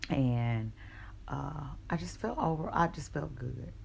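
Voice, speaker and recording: A woman's voice with audible room echo. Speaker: vlogger. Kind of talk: personal storytelling vlog. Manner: casual, hesitant with fillers.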